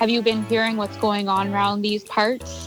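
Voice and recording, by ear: Over clear background music, a woman does a raspy, put-on character voice at medium pitch. She keeps a moderate pace.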